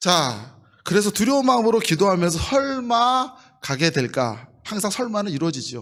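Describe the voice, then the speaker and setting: A man speaks in a high voice with very wide swings in pitch. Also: moderate pace. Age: 50s. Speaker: pastor. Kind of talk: sermon.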